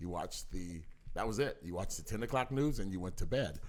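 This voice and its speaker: A man talks with ordinary pitch variation. There is audible room echo. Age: 50s. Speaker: parent of the podcast host. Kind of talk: casual chat.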